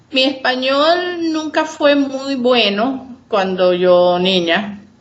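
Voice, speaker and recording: With audible room echo, a woman speaks at a very slow pace in a high pitch that makes very wide swings. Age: 60s. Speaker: retired teacher. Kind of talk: interview.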